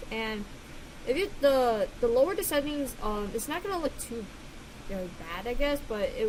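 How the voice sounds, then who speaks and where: A woman talks with lively intonation amid noticeable background noise. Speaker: digital artist. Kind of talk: casual tutorial voice-over. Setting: home recording with loud computer fan. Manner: hesitant, many filler words.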